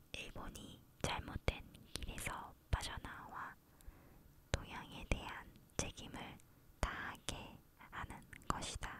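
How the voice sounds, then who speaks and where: Whispered words arrive very slowly. Pauses are long and frequent. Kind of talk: ASMR reading of a historical declaration, whispered soft reading. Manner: whispered, soft-spoken.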